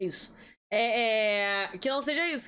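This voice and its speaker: A woman speaks in a bright, sharp tone. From Rio de Janeiro state, Brazil. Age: 30s. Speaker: podcast host. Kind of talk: casual interview.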